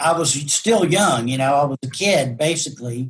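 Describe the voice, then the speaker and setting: His voice is somewhat breathy. It belongs to a man. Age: 60s. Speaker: realtor and folk singer-songwriter. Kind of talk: interview reminiscence. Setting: video call. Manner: halting, many restarts and fillers.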